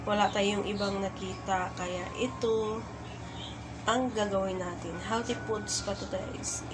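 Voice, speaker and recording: Noticeable background noise accompanies a woman speaking at a very slow pace. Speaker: home cook vlogger. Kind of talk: casual cooking tutorial. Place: kitchen. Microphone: phone near.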